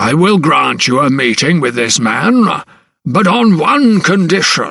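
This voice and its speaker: Using a put-on character voice, a man speaks high for a man and raspy, with very wide pitch swings, very even loudness and a fairly slow pace. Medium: read story. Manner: booming, blustering.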